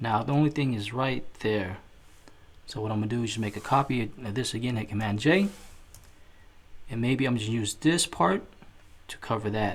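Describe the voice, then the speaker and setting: Moderate pace broken by long, frequent pauses. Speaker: graphic design tutorial creator. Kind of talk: tutorial.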